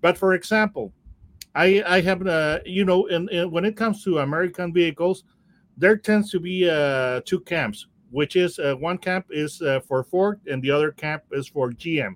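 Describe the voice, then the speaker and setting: A man with a high pitch, in a dry, close sound with no echo. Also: ordinary pitch variation, moderate pace. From Mexico. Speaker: car expert. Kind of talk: casual chat. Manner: halting.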